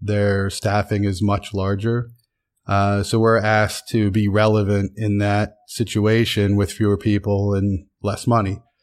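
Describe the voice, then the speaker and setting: A man with a fairly low pitch speaks at a fairly slow pace in a monotone, flat intonation with very even loudness. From Pennsylvania, US. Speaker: sports executive. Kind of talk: interview.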